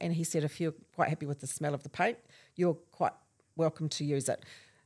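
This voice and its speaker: A woman with a New Zealand accent talks very fast in a very deep, low pitch with a dark, mellow tone and fairly even intonation, on a very clean recording with a silent background and a dry, close sound with no echo. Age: 60s. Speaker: clothing store owner. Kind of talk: casual chat. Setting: family beach house.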